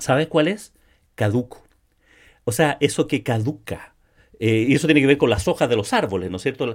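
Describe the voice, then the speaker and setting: Speaking at a moderate pace with long, frequent pauses, a man at medium pitch uses lively intonation. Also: very clean recording, silent background. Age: 60s. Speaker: sales podcast host. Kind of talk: solo podcast monologue. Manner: frequent word repetitions and fillers.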